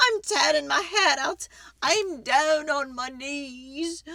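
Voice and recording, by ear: A woman's put-on character voice, high-pitched and bright with a sharp edge, slow, with vocal fry and ordinary pitch variation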